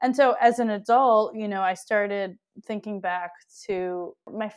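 A woman with an American accent speaks at a moderate pace with ordinary pitch variation. Hers is an unremarkable speaking voice against a quiet background. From Wisconsin, US Midwest (Milwaukee). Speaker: documentary filmmaker. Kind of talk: casual interview. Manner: laughs often.

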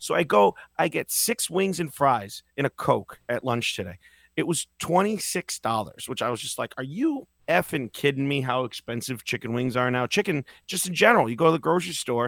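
A man with an American accent talks at a moderate pace in a fairly high voice. His pitch swings very widely. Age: 40s. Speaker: podcast host. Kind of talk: casual chat. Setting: video call.

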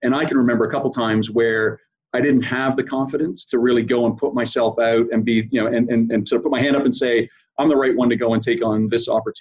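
A man with a Canadian accent and an ordinary speaking voice, medium in pitch, at a fairly quick pace. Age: 50s. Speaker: sports and entertainment executive. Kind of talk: interview.

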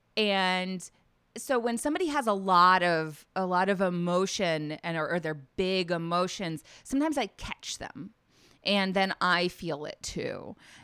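A woman's medium-pitched voice with an American accent, bright and sharp in tone, at a fairly slow pace with ordinary pitch variation, on a very clean recording with a silent background. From US South, Nashville, Tennessee. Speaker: life coach. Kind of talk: interview conversation.

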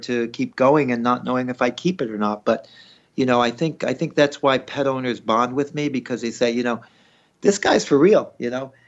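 Using a plain, everyday voice, a man talks at medium pitch and a moderate pace, with ordinary pitch variation. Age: 60s. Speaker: veterinarian. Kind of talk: interview.

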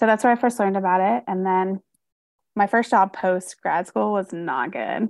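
With an American accent, a woman uses an unremarkable speaking voice at medium pitch, with lively intonation and a moderate pace. The sound is dry and close with no echo, over a quiet background. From North Carolina, US South. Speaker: social worker and therapist. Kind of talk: casual interview.

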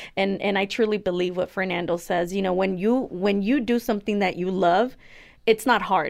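A woman with an American accent uses an ordinary speaking voice at a medium pitch and moderate pace, her intonation fairly even, on a very clean recording with a silent background. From US, Mexican family. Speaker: concrete business co-owner. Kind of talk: interview.

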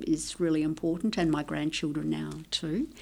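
This recording is very clean, with a silent background. The woman speaking has an Australian accent. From Italy (Tuscany), raised in Australia. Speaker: nutrition research scientist. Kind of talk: interview. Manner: halting.

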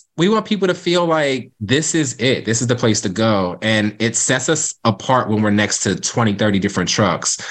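An ordinary speaking voice from a man, medium in pitch with lively intonation, moderate pace, hardly any pauses and very even loudness. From Cape May, New Jersey. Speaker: food truck owner. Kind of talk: casual interview.

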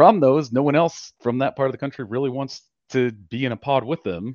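A man talks at a fairly quick pace in a normal speaking voice. His pitch is medium, and the sound is dry and close with no echo. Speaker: caller. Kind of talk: casual chat. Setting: online audio space.

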